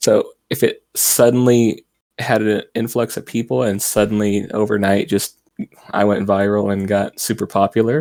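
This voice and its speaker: A man speaks quietly at a moderate pace, his fairly low pitch showing ordinary variation. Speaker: VTuber streamer. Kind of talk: interview. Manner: quiet, low volume.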